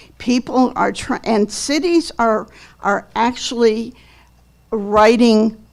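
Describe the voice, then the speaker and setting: A woman speaks very slowly in a fairly high voice with ordinary pitch variation, on a very clean recording with a silent background. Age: 70s. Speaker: public commenter, realtor and landlord. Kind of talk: public comment at council meeting. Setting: city council meeting.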